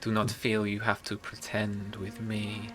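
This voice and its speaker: A man's put-on character voice, fairly low-pitched, at a moderate pace, with a monotone, flat delivery over clear background noise. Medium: actual play. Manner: formal, archaic, no contractions.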